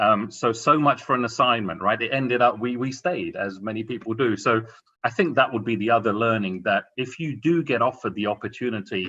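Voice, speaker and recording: Speaking with an English accent at a fairly quick pace, a man uses a medium pitch with ordinary variation and a bright, sharp tone. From England. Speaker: corporate executive panelist. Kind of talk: career advice talk on a panel.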